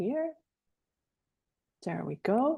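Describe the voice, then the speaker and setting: In a quiet background, a woman speaks at a fairly slow pace with a dark, mellow tone. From Netherlands. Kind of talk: lecture.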